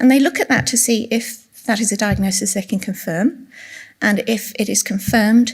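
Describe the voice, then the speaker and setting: Soft-spoken, a woman talks at a moderate pace in an English accent. Her pitch is fairly high and her intonation fairly even. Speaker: retiring specialist nurse giving a conference talk. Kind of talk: conference lecture. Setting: conference room with audience.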